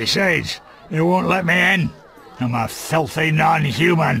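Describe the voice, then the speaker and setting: A man speaks in a put-on character voice, pitched fairly high and raspy. Faint music plays in the background. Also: moderate pace. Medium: machinima.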